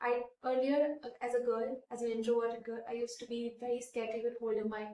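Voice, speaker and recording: In an Indian accent, a woman with a high voice and a dark, mellow tone speaks at a fairly quick pace with monotone, flat intonation. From India, Kota (Rajasthan). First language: Hindi. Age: 20s. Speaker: beauty pageant winner. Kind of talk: interview.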